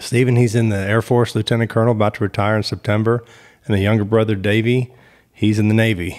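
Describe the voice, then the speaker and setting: Using a very fast pace, a man with a Texas accent speaks in a flat monotone at a fairly low pitch with very even loudness. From Texas (Killeen, central Texas). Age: 40s. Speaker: state trooper. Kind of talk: casual interview chat.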